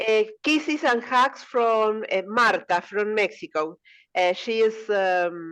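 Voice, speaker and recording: A woman with a Spanish accent, lively intonation, very even loudness and a very slow pace against a quiet background. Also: fairly high pitch for a woman. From Argentina. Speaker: language exchange participant. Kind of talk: casual group chat. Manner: halting.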